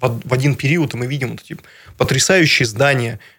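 Somewhat breathy, the delivery shows ordinary pitch variation. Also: man. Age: 30s. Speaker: regional politician and businessman. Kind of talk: radio interview. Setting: radio studio. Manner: halting, many fillers.

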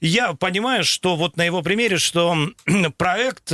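Over a very clean recording with a silent background, a man with a high voice speaks in a bright, sharp tone, the sound dry and close with no echo. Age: 40s. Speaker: radio host. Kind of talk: radio talk show.

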